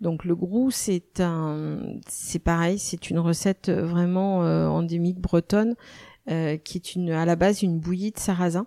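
At a fairly slow pace, a woman speaks with a dark, mellow tone, fairly low pitch, and fairly even intonation, in a dry, close sound with no echo. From western France, Nantes. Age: 50s. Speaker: chef and restaurant owner. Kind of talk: interview. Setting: in her restaurant. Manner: hesitant, many fillers.

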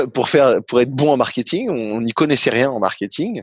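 A man speaks at a fairly slow pace in a medium pitch. The sound is dry and close, with no echo. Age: 30s. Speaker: startup founder and executive. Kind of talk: interview.

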